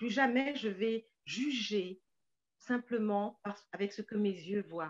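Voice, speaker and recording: Speaking at a very slow pace, a woman uses a medium pitch with ordinary pitch variation, and the sound is dry and close with no echo. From Paris suburbs, France. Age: 60s. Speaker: novelist. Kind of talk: interview.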